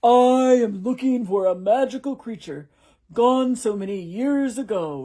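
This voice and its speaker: A put-on character voice, female-sounding and fairly high-pitched, at a moderate pace on a very clean recording with a silent background. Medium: read story. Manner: imperious.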